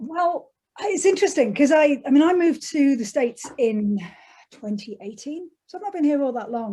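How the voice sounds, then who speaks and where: With an English accent, a woman speaks at a high pitch and moderate pace in a dark, mellow tone, with very wide pitch swings and big swings in loudness. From England, Derbyshire. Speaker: author. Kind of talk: interview.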